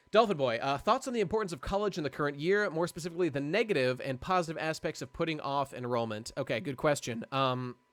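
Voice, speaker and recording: His tone is animated and his intonation lively. The man speaks at a very fast pace. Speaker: live streamer. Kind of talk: casual chat. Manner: halting.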